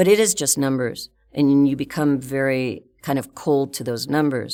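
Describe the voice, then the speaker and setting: The recording is very clean with a silent background. A woman with an American accent speaks with a very deep, low pitch. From United States. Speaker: writer, translator, actress and model. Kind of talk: interview answer. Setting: studio.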